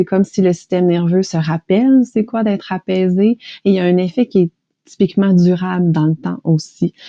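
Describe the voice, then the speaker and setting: With a Quebec accent, a woman speaks at a moderate pace in a medium-pitched, dark, mellow voice with ordinary pitch variation, the sound dry and close with no echo against a quiet background. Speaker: stress management practitioner, hypnosis guide. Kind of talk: interview, explanatory.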